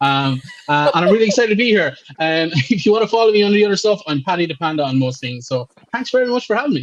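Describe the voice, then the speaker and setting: A man with an Irish accent talks at a very fast pace in a high voice, his pitch swinging very widely. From Ireland. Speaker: comedy and political content creator. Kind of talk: casual panel chat.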